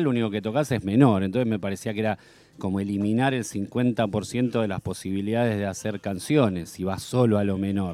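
Using an ordinary speaking voice, a man talks at a fairly quick pace in a fairly low pitch with ordinary pitch variation. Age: 50s. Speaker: musician. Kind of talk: radio interview. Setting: studio.

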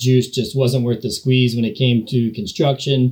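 A man's medium-pitched voice, dark and mellow, somewhat breathy, fairly even in intonation, at a moderate pace. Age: 40s. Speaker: architectural designer. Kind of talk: recorded voice message.

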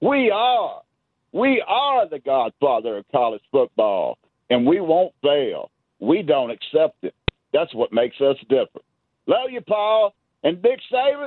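A man's high voice, with very wide pitch swings, at a fairly slow pace. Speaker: caller. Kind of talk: call-in chat. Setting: phone call. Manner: animated.

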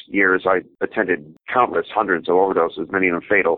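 A plain, everyday voice, male and fairly low, with fairly even intonation. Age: 50s. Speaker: harm reduction worker, former paramedic. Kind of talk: interview. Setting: phone call.

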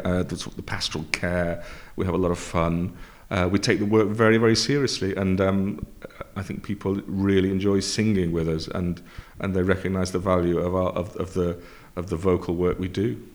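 Here a man speaks with a Lancashire accent at a fairly quick pace. His pitch is very deep and low, and his intonation is fairly even. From Preston, Lancashire, northern England. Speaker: opera music director and conductor. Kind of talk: interview. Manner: halting.

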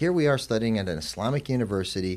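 With an ordinary speaking voice, a man talks at medium pitch with lively intonation. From Arizona, US. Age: 40s. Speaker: president of an Islamic graduate college. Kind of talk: interview.

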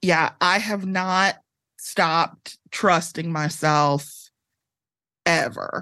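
A woman with an American accent speaks very slowly at a fairly low pitch, with a bright, sharp tone and fairly even intonation. Long, frequent pauses break up her speech against a quiet background. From Chicago area, Illinois (Evanston). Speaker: author. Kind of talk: casual interview chat.

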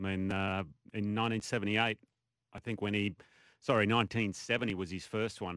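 A man with an Australian accent talks at a fairly slow pace in a fairly low pitch. His intonation is monotone and flat, broken by long, frequent pauses. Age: 50s. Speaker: golf pundit, former pro golfer. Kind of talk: sports radio chat.

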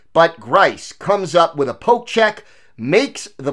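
Animated and energetic, a man's voice makes very wide pitch swings. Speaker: sports podcast host and columnist. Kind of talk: sports commentary. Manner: animated, energetic play-by-play recap.

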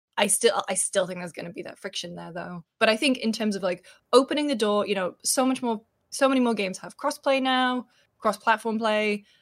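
In a British accent, a woman talks at a fairly quick pace and a fairly high pitch, with ordinary pitch variation and big swings in loudness, on a very clean recording with a silent background. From Britain. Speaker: video game journalist. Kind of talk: casual chat. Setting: live stream.

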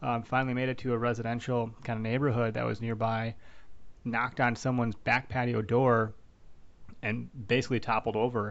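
A man with an American accent speaks at a fairly quick pace, his medium-pitched voice flat and monotone. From Wisconsin. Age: 30s. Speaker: podcast host. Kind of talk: casual interview.

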